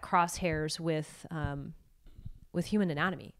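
An ordinary speaking voice at a fairly slow pace, ordinary pitch variation, quiet background. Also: woman. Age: 40s. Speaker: yoga and movement educator. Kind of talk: casual interview. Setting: in person at her home. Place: gym. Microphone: handheld.

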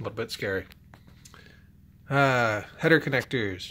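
This is a man with a medium pitch. His pitch varies in an ordinary way. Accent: American. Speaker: electronics hobbyist. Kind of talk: casual hardware teardown talk. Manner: casual, hesitant.

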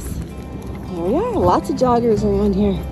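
Clear music plays behind the voice. The speaker is a woman. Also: dry sound with no echo. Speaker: travel vlogger. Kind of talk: casual vlog narration. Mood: cheerful, admiring. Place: waterside. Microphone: phone near.

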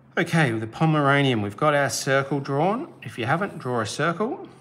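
A man with an Australian accent, fairly high pitch, lively intonation, and a moderate pace. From South Australia. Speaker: art teacher. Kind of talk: live-stream drawing tutorial. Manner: casual, encouraging.

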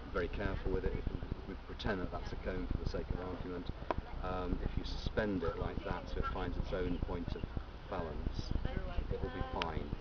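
Loud noise fills the background while a man talks at a moderate speed. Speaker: presenter. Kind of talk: lecture. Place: open country. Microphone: camera far.

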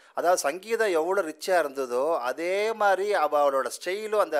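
With ordinary pitch variation, a man speaks against a quiet background. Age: 40s. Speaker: musician; speaker. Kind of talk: speech. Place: hall. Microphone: podium.

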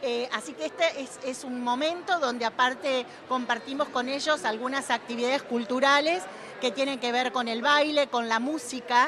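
Woman's raised, projected voice at a high pitch and moderate pace, with noticeable background noise. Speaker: university official. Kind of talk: interview. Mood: warm, welcoming. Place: hall. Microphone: handheld.

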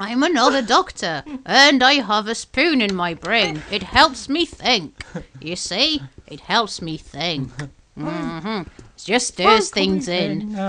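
In a cartoonish character voice, a female-sounding voice with a fairly high pitch moves at a fairly slow pace, with very wide pitch swings and long, frequent pauses. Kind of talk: comic puppet acting. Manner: cheerful, matter-of-fact.

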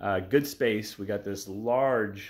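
Over a quiet background, a man talks at a fairly low pitch with ordinary pitch variation. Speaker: real estate broker giving property tours. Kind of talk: video property walkthrough tour. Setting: walking tour of a house, indoors and outdoors. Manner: enthusiastic, casual. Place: home room. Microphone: phone near.

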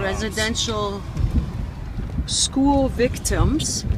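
The speech moves at a very slow pace. The sound is dry with no echo, but the background noise is loud. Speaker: driver narrating. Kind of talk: casual commentary while filming. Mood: cheerful, smiling. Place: car. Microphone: phone near.

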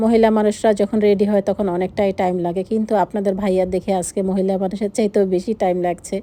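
Her voice is medium in pitch with a dark, mellow tone, and this woman keeps a monotone, flat intonation. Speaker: vlogger. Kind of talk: casual vlog chat; cooking tutorial.

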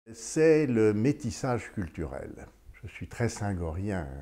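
A man speaks at a very slow pace. His voice has a fairly low pitch and a dark, mellow tone. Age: 80s+. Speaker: retiree interviewee. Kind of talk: interview answer. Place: home room. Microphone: lapel.

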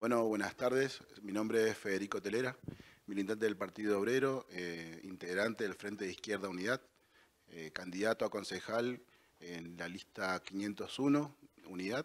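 Here is a normal speaking voice at a moderate pace, with ordinary pitch variation. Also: man, fairly low pitch for a man. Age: 40s. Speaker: political candidate, construction worker; candidate. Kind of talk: campaign statement. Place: studio. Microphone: handheld.

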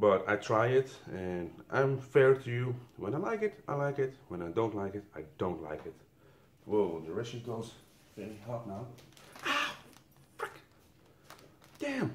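A man with a Dutch accent talks at a fairly slow pace in a medium pitch, leaving long, frequent pauses. His loudness swings a lot, over light background noise. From Netherlands. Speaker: YouTuber reviewing military rations. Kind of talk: casual taste-test review video. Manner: halting, non-fluent English. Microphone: phone near.

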